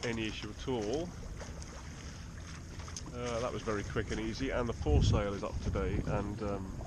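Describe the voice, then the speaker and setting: A man at a moderate pace with long, frequent pauses, dry sound with no echo, and loud background noise. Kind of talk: casual vlog chat. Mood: relaxed and cheerful. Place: boat. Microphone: phone near.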